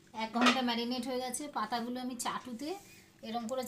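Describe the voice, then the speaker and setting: The woman's pitch is high. Noticeable background noise sits behind her. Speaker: home cook, mother of the channel owner giving the voice-over. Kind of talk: cooking vlog narration. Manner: casual, explanatory, friendly.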